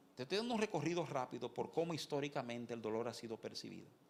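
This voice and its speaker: A man at a medium pitch speaks with very wide swings in pitch. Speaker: pastor. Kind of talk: sermon. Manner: fast.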